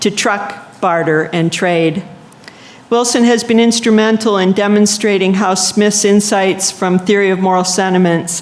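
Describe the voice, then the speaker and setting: At a fairly slow pace, the voice keeps a fairly even intonation over noticeable background noise. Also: woman. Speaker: conference session chair. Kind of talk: speaker introduction.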